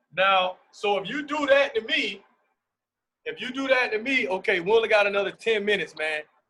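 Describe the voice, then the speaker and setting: A raised, projected voice at a fairly quick pace. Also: man, high pitch for a man, ordinary pitch variation. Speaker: basketball coach. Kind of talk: coaching clinic on video call.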